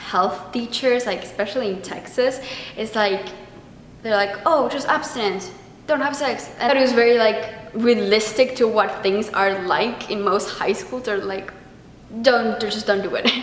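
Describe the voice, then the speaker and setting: With noticeable background noise and audible room echo, a woman with a fairly high voice talks at a fairly slow pace in an animated tone. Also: ordinary pitch variation. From Argentina. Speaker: theater vlogger. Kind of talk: casual review monologue.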